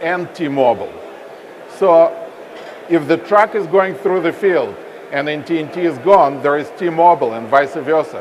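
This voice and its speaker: With audible room echo and noticeable background noise, a man speaks at a high pitch. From Russia. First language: Russian. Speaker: telecom company representative. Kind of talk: onstage interview. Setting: stage with audience at expo.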